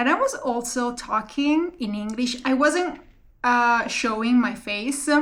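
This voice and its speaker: A woman speaks at a very slow pace in a high pitch with fairly even intonation, and the room echo is audible. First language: not English. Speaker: vlogger and PhD student. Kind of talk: casual vlog monologue. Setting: talking to camera. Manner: halting, many fillers.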